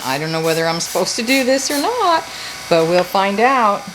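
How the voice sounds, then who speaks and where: With audible room echo and noticeable background noise, a woman is speaking. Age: 60s. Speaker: homesteading youtuber. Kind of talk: tutorial. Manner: casual, halting.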